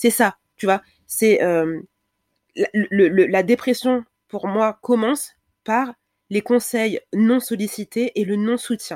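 A woman's fairly high voice with ordinary pitch variation and long, frequent pauses, in a very clean recording with a silent background and a dry, close sound without echo. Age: 30s. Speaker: Instagram creator on breastfeeding. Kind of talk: casual chat. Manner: halting.

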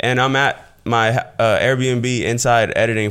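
In an American accent, a man with an unremarkable speaking voice talks at a fairly slow pace with ordinary pitch variation. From US South, southwest Florida. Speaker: YouTuber and e-commerce entrepreneur. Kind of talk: casual interview chat.

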